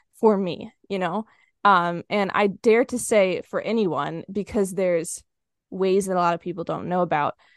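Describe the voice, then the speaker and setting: A plain, everyday voice belongs to a woman speaking at a moderate pace and medium pitch with fairly even intonation, recorded dry and close with no echo over a quiet background. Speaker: podcaster and money coach for students. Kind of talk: interview conversation.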